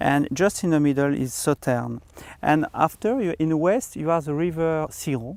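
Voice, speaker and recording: With a French accent, a man talks at a moderate pace in a fairly high pitch, his pitch varying in an ordinary way. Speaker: winemaker. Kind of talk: interview. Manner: halting.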